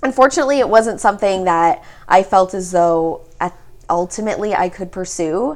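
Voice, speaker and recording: Speaking in a Canadian accent, a woman with a plain, everyday voice, medium in pitch, talks at a moderate pace with lively intonation. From Ontario, Canada (Mississauga). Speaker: podcast host. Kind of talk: casual chat. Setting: guest's studio.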